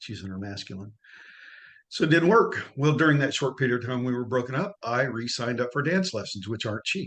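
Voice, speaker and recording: With lively intonation, a man talks at a fairly quick clip. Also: medium pitch for a man. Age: 60s. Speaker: coaching client. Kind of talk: testimony. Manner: halting.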